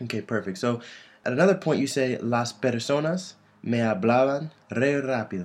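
The speaker is a man at a medium pitch. He uses lively intonation. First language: English (speaking Spanish). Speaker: podcast host. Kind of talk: casual chat.

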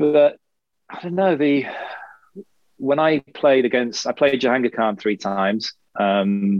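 There is an English accent in this man's speech. The sound is close and dry, without echo. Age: 40s. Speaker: former professional squash player. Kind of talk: casual chat.

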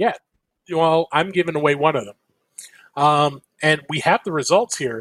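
In a dry, close sound with no echo, a man with a fairly high pitch talks at a moderate pace, with long, frequent pauses and big swings in loudness. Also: ordinary pitch variation. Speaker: podcast host. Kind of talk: casual chat.

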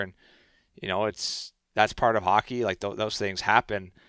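With a Canadian accent, the speaker talks at a fairly quick pace in a bright, sharp tone and monotone, flat intonation, captured in a very clean, dry, close recording with no echo and a silent background. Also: man. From Canada. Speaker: professional hockey player. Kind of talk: casual interview.

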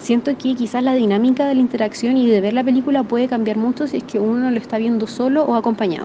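A woman's high voice at a very fast pace, with hardly any pauses and fairly even intonation, over noticeable background noise. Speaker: listener sending audio comments. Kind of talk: recorded voice message.

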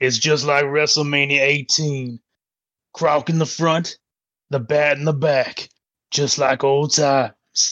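Putting on a playful character voice, a man speaks at a fairly high pitch and a fairly slow pace, his intonation monotone and flat, with long, frequent pauses. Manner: playful, nostalgic.

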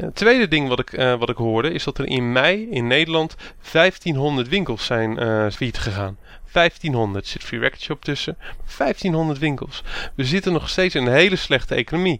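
Using a normal speaking voice, a man talks at a moderate pace with fairly high pitch and lively intonation. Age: 30s. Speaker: podcast host. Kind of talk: casual chat.

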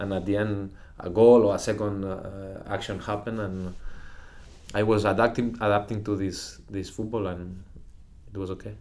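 In a room with audible echo, a man with a fairly low pitch speaks in a flat monotone at a moderate pace, with long, frequent pauses. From Catalonia, Spain (Lloret de Mar). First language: Spanish/Catalan. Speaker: professional footballer. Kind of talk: interview. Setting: club house. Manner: halting, repeats words.

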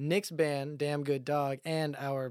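A man talks at a very slow pace with a fairly high pitch. The sound is dry and close, with no echo. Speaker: musician. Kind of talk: casual chat.

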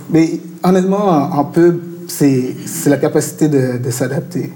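Noticeable background noise surrounds a man who talks at a very slow pace with fairly even intonation. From Montreal, Quebec. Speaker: art director and illustrator. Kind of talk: interview at a live talk. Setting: venue with live audience. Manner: casual, code-switching with English.

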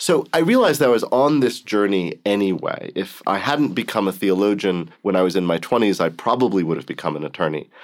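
On a very clean recording with a silent background, a man with a plain, everyday voice speaks at a fairly low pitch with lively intonation. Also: fairly quick pace, hardly any pauses. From US Southwest, Arizona. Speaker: theology professor. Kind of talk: interview.

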